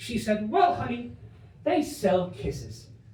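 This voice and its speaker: Audible room echo and noticeable background noise surround a man whose pitch swings very widely. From Ireland, raised in Spain from age eleven. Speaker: stand-up comedian. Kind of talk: stand-up. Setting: stage with audience. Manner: animated.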